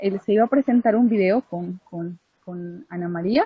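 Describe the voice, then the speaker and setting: A woman speaks at a medium pitch and a fairly slow pace. Her voice is somewhat breathy, with lively intonation. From Putumayo, Colombia (Inga people). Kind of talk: online group meeting contribution. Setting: video call from home. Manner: hesitant, many fillers.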